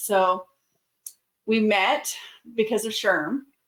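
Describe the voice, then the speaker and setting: The speaker has an American accent and talks at a very slow pace. The intonation stays fairly even. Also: woman. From US South. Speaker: podcast host. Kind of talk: podcast interview.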